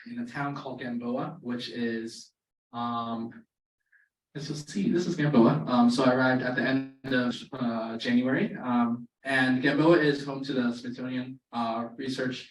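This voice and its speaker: Amid audible room echo, a man with an American accent speaks at a fairly slow pace and medium pitch with fairly even intonation. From Maryland, near Baltimore. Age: 20s. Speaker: student birder and wildlife photographer. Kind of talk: presentation to a club. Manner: casual with many fillers.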